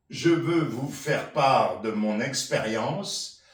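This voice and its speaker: Ordinary pitch variation comes through over audible room echo and noticeable background noise. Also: man. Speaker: senior chair exercise instructor. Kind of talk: personal testimony.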